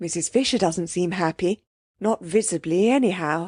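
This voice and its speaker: Doing a put-on character voice, a woman speaks raspily at a moderate pace and medium pitch with ordinary pitch variation, in a dry, close sound with no echo. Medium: read story. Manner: gentle, soft.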